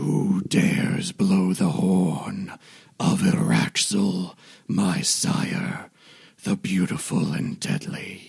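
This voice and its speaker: In a raspy, put-on character voice, a man talks at a very slow pace. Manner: booming, haughty, menacing.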